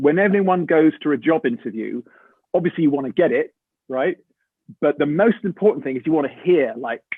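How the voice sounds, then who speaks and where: With an English accent, a man speaks at a fairly high pitch. His intonation is lively. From England. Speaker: actor. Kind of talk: interview, casual storytelling. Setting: video call. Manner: animated.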